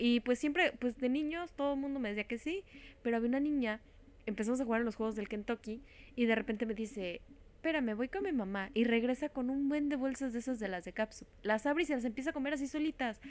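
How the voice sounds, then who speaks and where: Talking at a very fast pace, a woman has a high voice with ordinary pitch variation. She speaks with a Mexican accent. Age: 20s. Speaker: podcast co-host. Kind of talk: casual chat.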